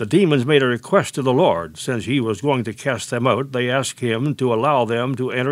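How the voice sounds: The clip has a natural reading voice. It is used throughout.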